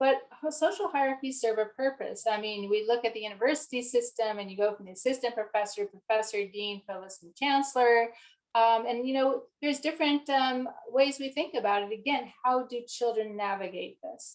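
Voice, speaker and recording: Her loudness swings widely as this woman speaks with a high pitch and ordinary pitch variation. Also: fairly quick pace. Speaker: developmental psychology researcher. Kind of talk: lecture. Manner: fast.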